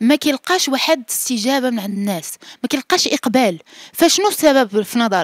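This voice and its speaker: The voice moves at a moderate pace with very wide pitch swings. The sound is dry with no echo, over a quiet background. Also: woman, high pitch for a woman. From Morocco. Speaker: journalist interviewer. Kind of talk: scripted outro to camera; interview. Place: home room. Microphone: handheld.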